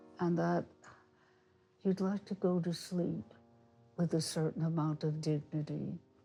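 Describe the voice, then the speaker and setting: A woman's very deep, low voice with an American accent, very slow, with ordinary pitch variation and music in the background. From US Northeast, Brooklyn New York. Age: 90s. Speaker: retired teacher. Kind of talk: interview.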